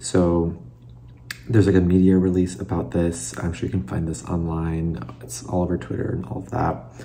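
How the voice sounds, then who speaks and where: A man with an American accent speaks at a moderate pace in a very deep, low voice with lively intonation, with audible room echo and noticeable background noise. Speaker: former figure skater turned commentator. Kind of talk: casual reaction video. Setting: at home, late at night. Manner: soft-spoken; halting, many fillers.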